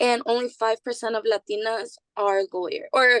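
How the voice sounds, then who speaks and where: A woman's fairly high voice in a Spanish accent, moderate in pace, with a dry, close sound and no echo. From East Boston, Massachusetts. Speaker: university student. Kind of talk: interview.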